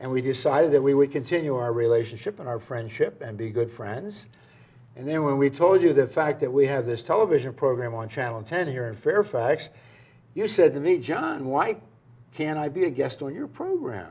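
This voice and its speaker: Talking with a dark, mellow tone, a man in an American accent has a fairly high pitch and a moderate pace. His intonation is lively, and his loudness swings widely. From US Northeast, Philadelphia. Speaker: public access TV host. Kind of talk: TV interview and video commentary. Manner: halting, many fillers.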